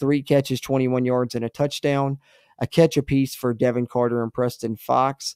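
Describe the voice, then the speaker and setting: Speech comes at a moderate pace in a dry sound with no echo and a quiet background. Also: man. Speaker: sports podcast host. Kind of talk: casual sports chat. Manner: animated. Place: home room.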